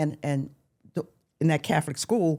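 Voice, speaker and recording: A woman's very deep, low, dark and mellow voice with vocal fry, in an American accent at a moderate pace. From Philadelphia, US. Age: 70s. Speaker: retired camping enthusiast. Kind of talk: interview. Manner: halting with repeated words.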